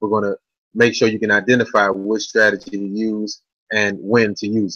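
With long, frequent pauses, a man speaks at a moderate pace and a fairly low pitch. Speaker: trading educator, co-host. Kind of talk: webinar presentation. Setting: online webinar.

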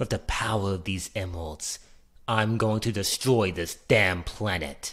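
A man's put-on character voice at a fairly slow pace, in a very clean recording with a silent background. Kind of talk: video game character voice demo. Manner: cold, arrogant, menacing.

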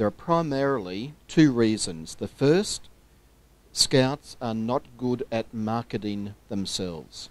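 In an Australian accent, a man speaks very slowly at a medium pitch with lively intonation, the sound dry with no echo. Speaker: scouting official, audience questioner; questioner. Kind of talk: audience question at conference. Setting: stage with audience. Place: meeting room.

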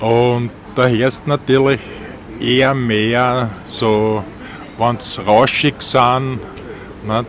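A man speaks very slowly in a Viennese accent, with long, frequent pauses and fairly even intonation. The sound is dry with no echo, over light background noise. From Vienna, Austria. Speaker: taxi driver. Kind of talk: interview answer. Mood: chatty, opinionated. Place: car.

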